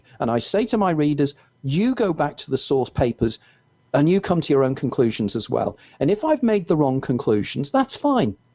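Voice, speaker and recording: A man with a Merseyside accent, very wide pitch swings and a moderate pace. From northern England, Wirral near Liverpool. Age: 60s. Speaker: author. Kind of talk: interview.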